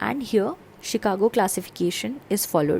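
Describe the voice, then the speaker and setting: A woman speaks at a medium pitch with vocal fry. Her pitch swings very widely. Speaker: medical exam tutor. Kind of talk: lecture.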